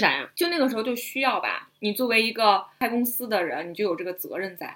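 A woman's normal speaking voice, fairly high-pitched, with lively intonation and a fairly quick pace. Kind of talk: casual chat.

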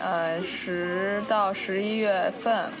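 A woman at a medium pitch speaks with fairly even intonation, with noticeable background noise and audible room echo. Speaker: university art student. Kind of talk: casual chat.

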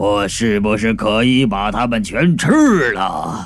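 In a gruff, put-on character voice, a man talks at a fairly slow pace with a medium pitch over clear background noise.

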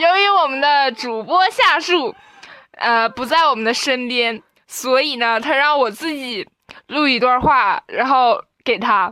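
A woman speaks very slowly in a raised, projected voice, high-pitched with a bright, sharp tone. Her intonation is lively. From Northeast China. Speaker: college student. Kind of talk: casual chat. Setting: dorm room. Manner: halting.

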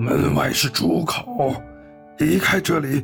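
A put-on character voice with vocal fry and a fairly bright tone moves at a slow pace with ordinary pitch variation, faint music playing in the background. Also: man, fairly high pitch for a man.

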